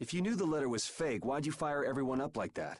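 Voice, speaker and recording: Putting on a character voice, a man growls at a very fast pace, his pitch fairly high, his intonation lively and his loudness very even. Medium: video game. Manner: wry, laid-back.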